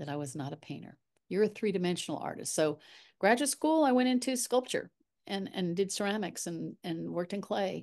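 A woman at medium pitch with very wide pitch swings and a fairly quick pace over a quiet background. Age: 60s. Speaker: artist and art mentor. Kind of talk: casual chat.

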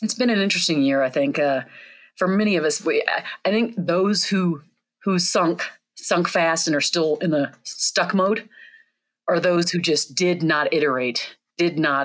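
In an ordinary speaking voice, a woman talks at a fairly slow pace with a fairly low pitch and ordinary pitch variation. The recording is very clean, with a silent background. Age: 40s. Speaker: employee engagement consultant and author. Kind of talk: interview.

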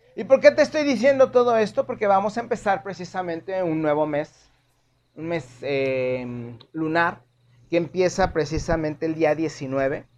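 A man speaks at a high pitch and a fairly slow pace. His pitch swings very widely. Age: 40s. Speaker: tarot reader and astrologer podcast host. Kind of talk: solo podcast monologue.

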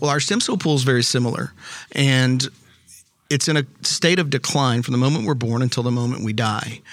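A man with an American accent in a normal speaking voice, medium pitch, ordinary pitch variation, fairly quick pace and very even loudness. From Texas. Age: 50s. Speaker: regenerative medicine company CEO. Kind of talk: interview. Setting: live at a conference.

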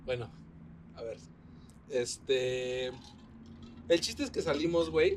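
Very slow speech in a Mexican accent, with vocal fry, very wide pitch swings and long, frequent pauses. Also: man, medium pitch for a man. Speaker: podcast host. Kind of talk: casual chat. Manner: animated.

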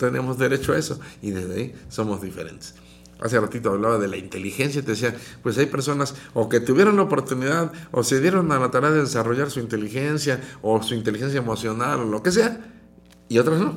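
This man talks at a very fast pace with lively intonation. His pitch sits in the medium range. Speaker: radio host and psychologist. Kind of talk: radio talk show. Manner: modulated, calmer than before.

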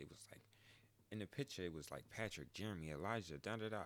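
A man talks in a very deep, low voice with vocal fry. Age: 20s. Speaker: podcaster. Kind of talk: casual monologue. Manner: animated.

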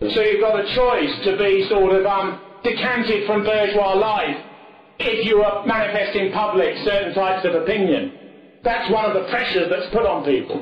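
Amid noticeable background noise, a man with a high pitch speaks at a moderate pace, his intonation fairly even and his loudness very even. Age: 40s. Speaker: political speaker. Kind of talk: lecture. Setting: stage with audience.

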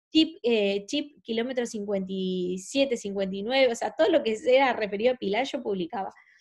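In a normal speaking voice with a fairly high pitch, a woman talks with hardly any pauses and ordinary pitch variation against a quiet background. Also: fairly slow pace. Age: 20s. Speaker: makeup artist and actress. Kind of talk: casual interview.

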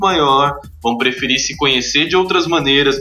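With audible room echo and noticeable background noise, a man speaks at a moderate pace with fairly high pitch. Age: 30s. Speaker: entrepreneur. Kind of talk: interview.

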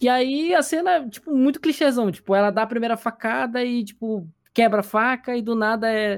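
A man is speaking. His pace is fairly quick. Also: very clean recording, silent background. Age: 20s. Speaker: podcast host. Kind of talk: casual chat.

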